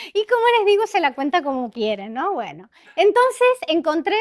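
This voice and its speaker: Her pitch swinging very widely, a woman talks at a moderate speed. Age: 60s. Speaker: executive coach and conference speaker. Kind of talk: conference talk. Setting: stage with audience. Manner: conversational, engaging audience with questions.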